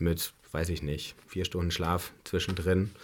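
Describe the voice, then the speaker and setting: Here a man talks at a moderate pace. The recording is very clean and the background silent. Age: 30s. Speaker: bar and restaurant owner. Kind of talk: interview. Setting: studio.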